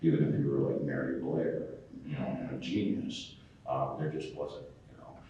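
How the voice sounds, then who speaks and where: A man with an American accent, big swings in loudness, and audible room echo. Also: moderate pace. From New England, US (Connecticut). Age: 60s. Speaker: cartoonist. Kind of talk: convention panel interview. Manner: hesitant, many fillers.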